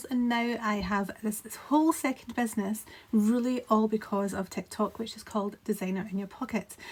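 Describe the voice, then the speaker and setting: A woman's fairly high, somewhat breathy voice with a Scottish accent, fairly even intonation and a moderate pace. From Scotland. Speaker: graphic designer. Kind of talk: casual talk to camera.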